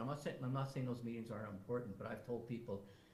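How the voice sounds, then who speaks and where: A man talks over noticeable background noise, and the room echo is audible. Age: 60s. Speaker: First Nation chief. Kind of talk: fireside chat interview. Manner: animated, repetitive stammering.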